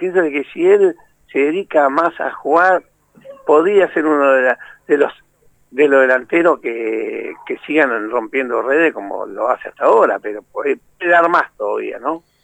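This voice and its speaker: A man with an Argentine accent at a fairly slow pace, his sound dry and close with no echo. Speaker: retired footballer. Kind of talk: interview.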